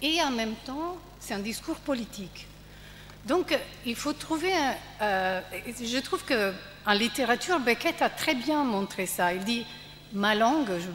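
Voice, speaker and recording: A woman with a strong Italian accent speaks at a very slow pace, with long, frequent pauses. Her fairly high voice moves in very wide pitch swings. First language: Italian (speaking French). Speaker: panelist at a theatre festival debate. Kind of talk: panel discussion. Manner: halting.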